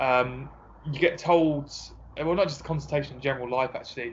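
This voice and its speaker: In an Essex accent, a man talks in a somewhat breathy voice. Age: 20s. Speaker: personal trainer. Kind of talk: casual interview.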